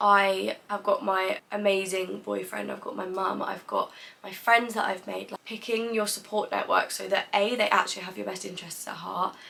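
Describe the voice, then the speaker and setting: The speech moves at a moderate pace with hardly any pauses and big swings in loudness. Noticeable background noise runs underneath. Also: woman. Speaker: content creator. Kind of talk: vlog monologue.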